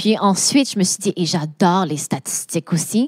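A woman talks at a fairly slow pace with a medium pitch and ordinary pitch variation. The sound is dry and close with no echo, in a very clean recording with a silent background. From Quebec, Laval. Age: 30s. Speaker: AI and data consultant. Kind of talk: interview.

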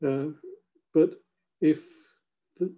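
The tone is dark and mellow. The intonation stays flat and monotone. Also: man. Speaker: professor. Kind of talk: lecture. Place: office. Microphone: webcam.

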